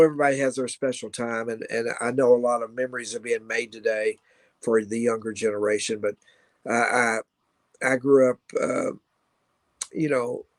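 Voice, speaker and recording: Speaking with a Kentucky accent at a moderate pace, a man sounds dry and close with no echo. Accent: Kentucky Southern US. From Kentucky (Louisville). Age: 60s. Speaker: rock guitarist and radio host. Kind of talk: casual interview chat.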